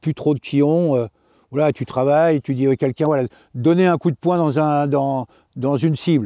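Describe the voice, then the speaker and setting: Against a quiet background, a man speaks at a moderate pace with a fairly high pitch, a dark, mellow tone and very even loudness. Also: ordinary pitch variation, dry, close sound with no echo. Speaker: karate teacher. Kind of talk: interview. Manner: halting.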